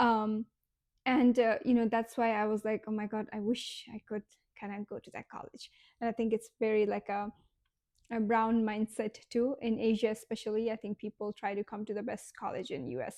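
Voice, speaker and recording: A woman with a Nepali accent speaks at a moderate pace, her pitch fairly high and her tone dark and mellow. Her intonation is fairly even, and the sound is dry and close with no echo against a quiet background. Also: big swings in loudness. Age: 20s. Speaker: vlogger. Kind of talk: casual vlog monologue. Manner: halting, many fillers.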